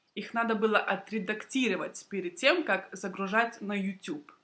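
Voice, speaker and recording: Her pitch fairly high and varying in an ordinary way, a woman speaks at a fairly slow pace in a bright, sharp tone. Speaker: Russian language teacher. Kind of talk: language-learning vlog talk to camera. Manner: slow, clear.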